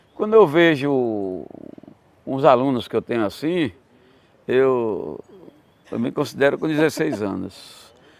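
The speaker moves at a very slow pace with lively intonation, breaking often with long pauses. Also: man, medium pitch for a man. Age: 80s+. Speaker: capoeira master; interviewee. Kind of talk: interview storytelling. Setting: at his country home. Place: garden. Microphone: lapel.

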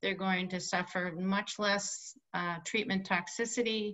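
A woman with ordinary pitch variation against a quiet background. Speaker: presenter. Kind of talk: webinar presentation. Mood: warm, slightly laughing. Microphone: video call.

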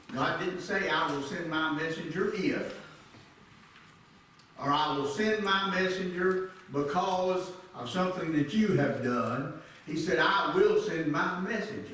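There is strong room echo and light background noise behind a man with a high pitch. He speaks at a fairly slow pace with ordinary pitch variation. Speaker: church elder preaching. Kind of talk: sermon. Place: church.

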